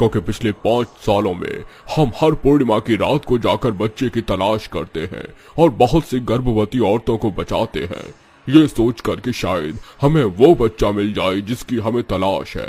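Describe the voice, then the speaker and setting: A man's cartoonish character voice at a medium pitch and a moderate pace. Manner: pleading, desperate.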